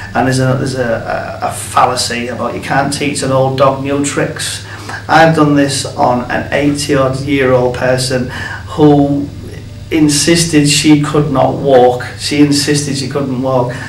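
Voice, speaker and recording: A man speaks at a fairly slow pace with fairly even intonation and a fairly high pitch. Room echo is audible, and background noise is noticeable. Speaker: therapist, founder of a therapy method. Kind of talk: interview.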